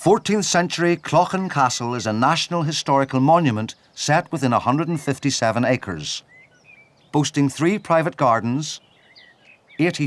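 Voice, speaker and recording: An unremarkable speaking voice from a man, moderately paced, fairly high-pitched and lively in intonation. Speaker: TV presenter. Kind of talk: TV documentary narration.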